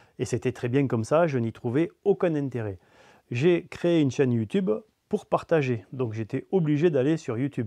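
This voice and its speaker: A man speaks in a southern French accent at medium pitch and a moderate pace. His tone is dark and mellow, with lively intonation. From south of France. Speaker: DIY hobbyist YouTuber. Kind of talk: mock interview answer.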